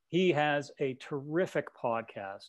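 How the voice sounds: Male speech with normal pitch movement.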